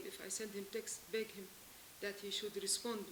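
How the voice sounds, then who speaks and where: A woman talks with monotone, flat intonation. Noticeable background noise is present. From Lebanon. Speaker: abandoned wife seeking help. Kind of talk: testimony. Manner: emotional; halting.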